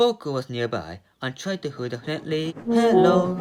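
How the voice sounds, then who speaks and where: This voice moves at a fairly slow pace with very wide pitch swings, with music in the background. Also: man. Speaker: storyteller. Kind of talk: children's story audio reading.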